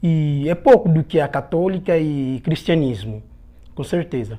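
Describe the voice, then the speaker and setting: An Angolan accent at a fairly slow pace. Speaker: guest from Angola. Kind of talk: casual interview.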